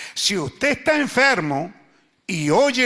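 A man's raised, projected voice, high in pitch, with a bright, sharp tone and very wide pitch swings. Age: 70s. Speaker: pastor. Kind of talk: sermon. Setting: church.

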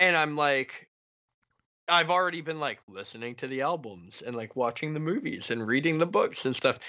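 At a moderate pace, a man in an unremarkable speaking voice uses a fairly high pitch with ordinary pitch variation. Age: 30s. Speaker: horror film writer and podcaster. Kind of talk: casual chat.

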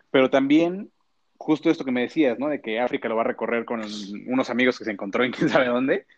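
The man's voice sits at a medium pitch with ordinary pitch variation. He talks very fast, and the sound is dry and close with no echo. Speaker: podcast co-host. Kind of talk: casual chat. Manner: animated.

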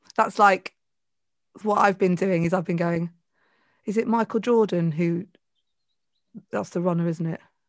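This woman has a medium-pitched voice and a southern English accent, speaking at a moderate pace with fairly even intonation. Her long pauses come often. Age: 40s. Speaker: podcaster and presentation coach. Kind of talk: casual chat.

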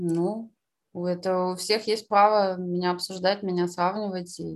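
A woman speaks at a medium pitch and a fairly slow pace in a flat, monotone intonation, recorded very cleanly against a silent background. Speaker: concert pianist. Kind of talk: interview conversation.

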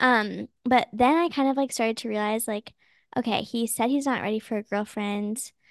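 The recording has a quiet background and a dry, close sound with no echo. It carries an ordinary speaking voice at a moderate pace. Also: woman. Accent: American. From Minnesota and Texas. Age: 20s. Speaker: grad student. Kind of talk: casual chat.

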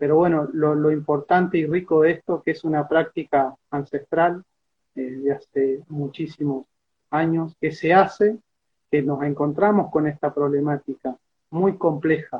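Fairly high in pitch, a man talks at a fairly slow pace with fairly even intonation. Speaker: peasant organization member. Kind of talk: interview. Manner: halting.

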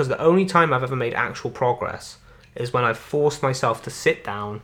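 A man's medium-pitched voice with a Welsh accent. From Wales. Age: young. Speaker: podcast host, amateur comedian and musician. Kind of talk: casual chat. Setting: on a sofa at home.

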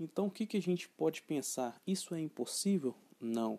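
The recording has a dry, close sound with no echo as a man speaks at a fairly slow pace and a fairly high pitch in a dark, mellow tone. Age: 20s. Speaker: podcast host, real estate agent. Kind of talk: motivational monologue.

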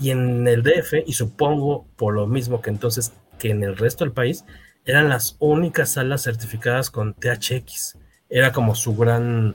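Speaking at a fairly slow pace, a man with a Mexican accent uses a medium pitch, a somewhat breathy voice and fairly even intonation, recorded very cleanly against a silent background. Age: 40s. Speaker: podcast host. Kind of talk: casual chat.

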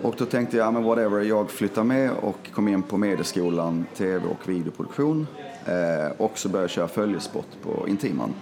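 A man speaks at a moderate pace in a fairly low pitch, with ordinary pitch variation and very even loudness. Noticeable background noise runs underneath. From Skåne, Helsingborg. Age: 40s. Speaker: actor and scriptwriter. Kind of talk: casual interview chat.

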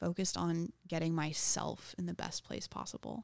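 A woman in an American accent speaks at a fairly low pitch in a normal speaking voice with ordinary pitch variation, in a very clean recording with a silent background and a dry, close sound with no echo. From Texas, New Braunfels. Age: 20s. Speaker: stand-up comedian. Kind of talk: casual chat. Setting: studio.

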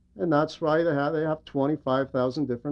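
A man talks with a fairly high pitch and a slightly mellow tone.

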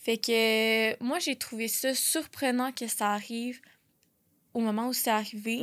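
In a very clean recording with a silent background, a woman speaks very slowly, fairly high in pitch, with fairly even intonation. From Quebec, Laval and Montreal South Shore. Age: 20s. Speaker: psychology student, suicide-bereaved sibling. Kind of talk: personal testimony in casual interview. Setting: studio.

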